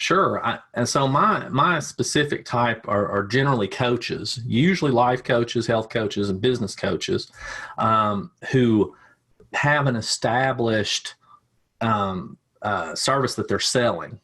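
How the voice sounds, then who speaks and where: Fairly slow speech in a Tennessee accent, bright and sharp in tone, with very even loudness and ordinary pitch variation. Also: man, medium pitch for a man. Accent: Southern US (Tennessee). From US South, Tennessee. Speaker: ad agency owner, digital marketer. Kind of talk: podcast interview. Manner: halting, many repeats and fillers.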